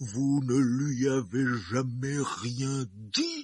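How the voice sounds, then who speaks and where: A man puts on a character voice at medium pitch, speaking at a very slow pace. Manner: furious, deliberate.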